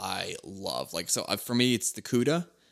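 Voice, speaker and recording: A man with an American accent speaks at a fairly slow pace in an ordinary speaking voice, his pitch medium. The recording is very clean with a silent background. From Philadelphia, US. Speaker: car podcast host. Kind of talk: casual chat.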